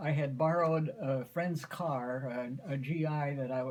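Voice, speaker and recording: In a Midwestern American accent, a man talks with fairly even intonation at a fairly high pitch. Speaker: grandfather. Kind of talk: family storytelling.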